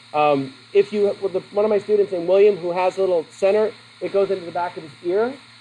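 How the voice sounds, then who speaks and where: Over noticeable background noise, a man speaks very fast in a high pitch with ordinary pitch variation. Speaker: psychology teacher. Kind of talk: lecture. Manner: casual, digressive.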